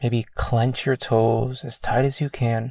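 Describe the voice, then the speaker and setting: Very slowly and in a monotone, flat intonation, a man speaks in a calm, soothing, somewhat breathy tone on a very clean recording with a silent background. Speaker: meditation coach. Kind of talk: guided meditation. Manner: slow, soothing, gentle; calm, measured, with long pauses.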